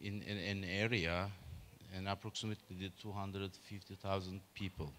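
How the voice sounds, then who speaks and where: This is a man speaking at a fairly low pitch. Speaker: presenter. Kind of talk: conference talk. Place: hall. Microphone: handheld.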